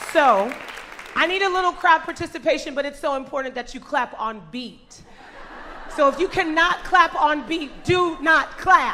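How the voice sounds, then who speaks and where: A woman's raised, projected voice, high-pitched and animated, at a moderate pace amid noticeable background noise. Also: ordinary pitch variation. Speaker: school staff member. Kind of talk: event presentation. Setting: church, stage with audience.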